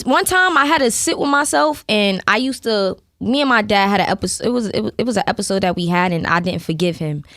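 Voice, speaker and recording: Fairly high in pitch and speaking at a fairly quick pace, a woman with a strong Brooklyn accent swings her pitch very widely. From Brooklyn, New York. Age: young. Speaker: rapper. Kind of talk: casual interview chat. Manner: casual, conversational.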